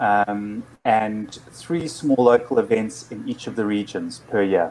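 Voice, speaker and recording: At a very slow pace, a man talks with ordinary pitch variation. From South Africa, Durban. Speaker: network operators group organizer, conference presenter. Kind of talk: conference presentation. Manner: halting, many fillers.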